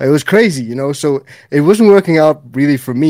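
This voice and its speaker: Recorded very cleanly against a silent background, a man speaks in a dark, mellow tone. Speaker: cannabis YouTuber. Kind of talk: casual chat.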